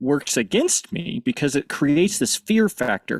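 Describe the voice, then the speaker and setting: An American-accented man's fairly high voice with very wide pitch swings at a moderate pace, dry and close with no echo. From US Midwest, northern Missouri. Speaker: panelist, AV technology professional. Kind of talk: conference panel discussion.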